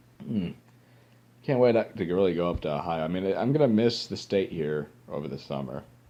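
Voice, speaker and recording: With an American accent, a man talks in a very deep, low pitch with a dark, mellow tone and very wide pitch swings. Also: fairly quick pace. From Central Louisiana. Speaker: vlogger. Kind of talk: casual vlog talk. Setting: at home in a lounge chair. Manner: halting, frequent fillers and restarts.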